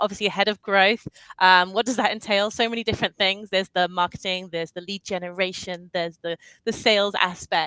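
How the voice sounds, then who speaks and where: Bright and sharp in tone, a woman speaks fairly quickly at a medium pitch with fairly even intonation, the sound dry and close with no echo. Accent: British. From UK. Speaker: head of growth at an ad agency. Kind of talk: panel interview.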